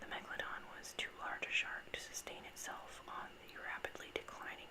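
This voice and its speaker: A fairly slow whisper amid noticeable background noise. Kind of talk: whispered informational ramble about sharks, ASMR. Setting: recorded on a desktop USB microphone with some background noise. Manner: whispered, soft-spoken.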